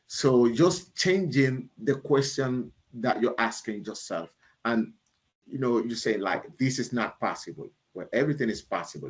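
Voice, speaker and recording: At a moderate pace, a man talks at a medium pitch with lively intonation. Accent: Panamanian. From Panama. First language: Spanish. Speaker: leadership speaker and author. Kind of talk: keynote talk answering audience questions. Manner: halting, with many fillers.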